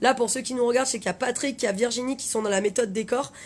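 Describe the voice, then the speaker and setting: The woman's tone is animated. Her pitch variation is ordinary. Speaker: life coach. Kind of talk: live stream talk. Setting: Facebook live video. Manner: fast.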